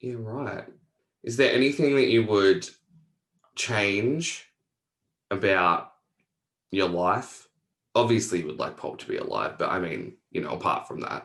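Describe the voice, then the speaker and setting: In an Australian accent, a man talks at a fairly slow pace with long, frequent pauses and big swings in loudness. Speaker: podcast host. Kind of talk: casual interview.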